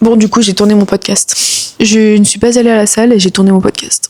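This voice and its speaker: A woman talks at a fairly quick pace in a dark, mellow tone with fairly even intonation. The sound is dry and close, with no echo. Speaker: vlogger and business coach. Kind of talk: casual vlog talk to camera. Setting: outdoors in Los Angeles. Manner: casual, hesitant with fillers.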